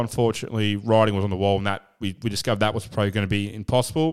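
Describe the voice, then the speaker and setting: The recording is very clean, with a silent background. A man speaks in an Australian accent. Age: 30s. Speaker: podcast host. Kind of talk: casual chat.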